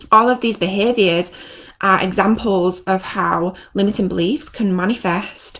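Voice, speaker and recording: The voice has an animated tone with ordinary pitch variation. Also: woman. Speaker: NLP trainer and coach. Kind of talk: live stream teaching. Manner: fast.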